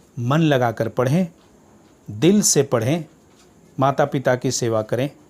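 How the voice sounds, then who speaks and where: This man's voice is somewhat breathy. He speaks at a medium pitch with ordinary pitch variation. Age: 60s. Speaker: retired teacher. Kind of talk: speech. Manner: formal.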